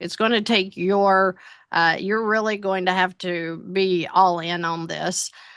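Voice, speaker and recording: This woman's pitch is medium. She talks at a fairly slow pace. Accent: Tennessee. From Tennessee. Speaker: financial business owner, consulting client. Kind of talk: interview testimony. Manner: halting, many fillers.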